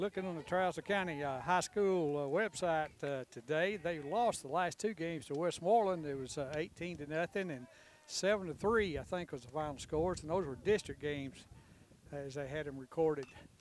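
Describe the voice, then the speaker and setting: A man with a Southern US accent talks at a moderate pace with ordinary pitch variation. The sound is dry with no echo, with light background noise. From Tennessee. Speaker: baseball color commentator. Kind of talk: live commentary. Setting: outdoors. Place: stadium. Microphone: headset.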